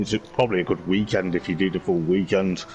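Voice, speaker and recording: A man's fairly low voice with fairly even intonation amid noticeable background noise. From West Midlands, England. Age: 30s. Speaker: motorsport vlogger and sim racing driver. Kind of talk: casual interview chat.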